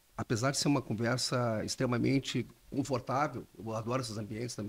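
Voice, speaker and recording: This man's voice has some breathiness. He talks fairly quickly. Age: 60s. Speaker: intellectual property lawyer. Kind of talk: podcast interview.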